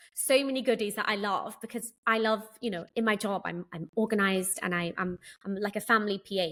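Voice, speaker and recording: A woman with a British accent, medium-pitched, at a fairly quick pace. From London. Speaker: governess and childcare business owner. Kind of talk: podcast interview answer.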